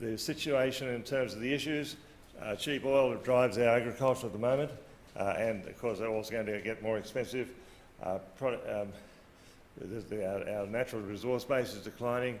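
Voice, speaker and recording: Speaking at a moderate pace with fairly even intonation, a man with an Australian accent holds a medium pitch while audible room echo surrounds him. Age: 60s. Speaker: agriculture policy official. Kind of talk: conference talk. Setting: conference stage with audience. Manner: hesitant, many fillers.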